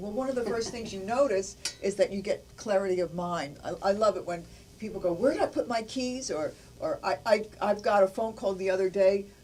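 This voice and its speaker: A fairly quick delivery, ordinary in pitch variation, with noticeable background noise behind it. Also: woman. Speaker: nutrition presenter. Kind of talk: infomercial product pitch.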